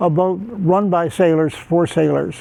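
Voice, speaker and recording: Someone with an American accent speaks at a fairly slow pace amid noticeable background noise. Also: man. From United States. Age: 80s+. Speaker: Olympic sailor and sailing coach. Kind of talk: interview answer.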